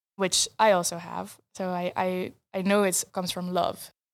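A woman with a Dutch accent speaks at a moderate pace and medium pitch. The recording is very clean, with a silent background. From eastern Netherlands, Arnhem. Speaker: filmmaker and photographer. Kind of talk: interview.

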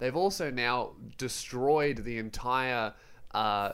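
The speaker has an Australian accent and a very slow pace. Pitch variation is ordinary. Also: man. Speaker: comedian and YouTuber. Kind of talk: casual chat. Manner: irreverent, joking, swears a lot.

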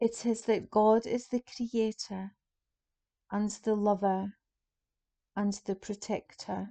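With a dark, mellow tone and a calm tone, a woman speaks very slowly at a fairly high pitch, her intonation monotone and flat, with long, frequent pauses in a dry, close sound with no echo. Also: quiet background. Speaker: prayer guide leading a Lenten group. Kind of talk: guided meditation. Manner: slow, calm, soft-spoken, with long pauses.

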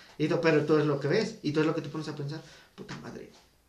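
Fairly high-pitched man talking at a very fast pace, with audible room echo. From State of Mexico, Teotihuacán area. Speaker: podcast co-host. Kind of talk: casual chat.

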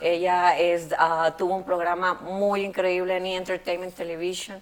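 A woman speaks at a fairly slow pace. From Mexico, Monterrey. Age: 30s. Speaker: barber and educator. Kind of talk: interview. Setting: barbershop.

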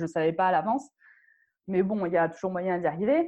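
A woman at a fairly low pitch, with a normal speaking voice and ordinary pitch variation. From Morocco. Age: 30s. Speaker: digital nomad and travel blogger. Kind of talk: interview.

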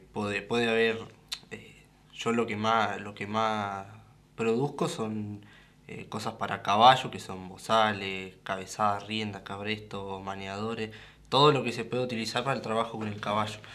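Over audible room echo, a man with a medium-pitched, bright, sharp tone talks at a fairly slow pace. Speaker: rope craftsman. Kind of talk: radio interview.

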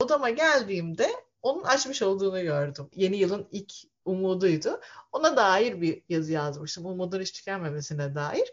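Very wide pitch swings at a moderate pace. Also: woman, medium pitch for a woman. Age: 40s. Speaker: lawyer and author. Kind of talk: casual chat.

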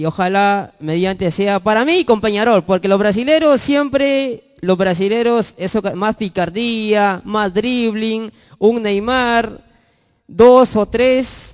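The man's voice is high in pitch, with ordinary pitch variation. He talks at a very slow pace. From northern Peru, Chiclayo, Lambayeque. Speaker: football commentator guest. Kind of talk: casual chat. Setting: studio.

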